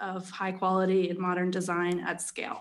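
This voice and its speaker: This woman has a medium-pitched voice with an American accent. The background is quiet. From Philadelphia. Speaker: podcast guest, chief marketing officer. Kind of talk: business.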